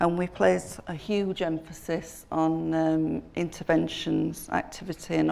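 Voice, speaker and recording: A woman speaks with a Yorkshire accent. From northern England, Sheffield. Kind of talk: conference talk. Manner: hesitant, many fillers.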